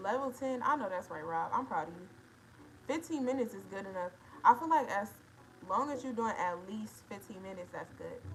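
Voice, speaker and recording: A woman's fairly high, lively voice in an American accent, with big swings in loudness. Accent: Detroit accent, noted by viewers. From Detroit, Michigan. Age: 20s. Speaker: livestreamer. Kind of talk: casual livestream chat reading comments.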